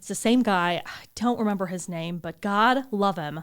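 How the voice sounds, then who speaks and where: This woman has a plain, everyday voice at medium pitch with ordinary pitch variation. She speaks at a moderate pace on a very clean recording with a silent background. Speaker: podcast co-host. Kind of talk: casual chat.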